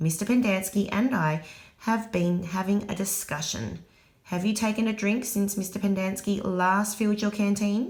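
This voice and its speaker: Doing a put-on character voice, a woman speaks soft and raspy at medium pitch, at a moderate pace, with fairly even intonation and very even loudness. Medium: read story. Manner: quiet, icy, authoritative.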